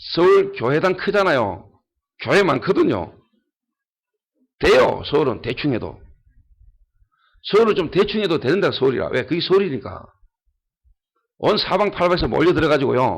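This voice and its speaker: Long pauses come often as a man talks at a moderate pace. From Ulleungdo, Gyeongsang region, South Korea. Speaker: pastor. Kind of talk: sermon. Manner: animated, emphatic.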